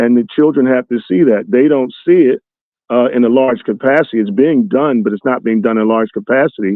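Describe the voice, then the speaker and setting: With an American accent and an unremarkable speaking voice, a man talks at a fairly quick pace in a medium pitch with ordinary pitch variation. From US Northeast (North Philadelphia). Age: 60s. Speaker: motivational speaker. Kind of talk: interview.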